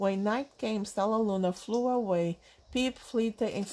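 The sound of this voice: The voice is an unforced reading voice with ordinary pitch variation.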